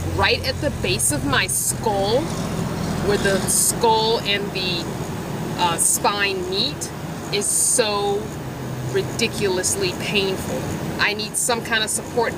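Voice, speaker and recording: A woman at a very slow pace with long, frequent pauses, dry sound with no echo, and loud background noise. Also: ordinary pitch variation. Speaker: van dweller vlogger. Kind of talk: casual product review. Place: car. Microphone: phone near.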